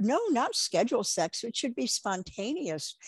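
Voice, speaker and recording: At a moderate pace, the voice swings very widely in pitch, with a dry, close sound, no echo and a quiet background. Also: woman. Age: 70s. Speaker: sex educator and author. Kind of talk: interview.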